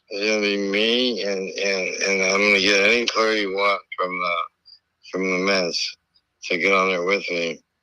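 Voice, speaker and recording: At a moderate pace, a man with a fairly low pitch and a bright, sharp tone speaks in a monotone, flat intonation. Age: 60s. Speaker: former baseball player. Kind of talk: casual chat. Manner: halting.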